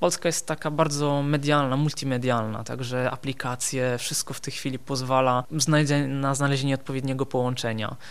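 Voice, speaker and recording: A man with an Italian accent, fairly high pitch and a moderate pace. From southern Italy, Benevento near Naples. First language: Italian (speaking Polish). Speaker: osteopath. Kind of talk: radio interview.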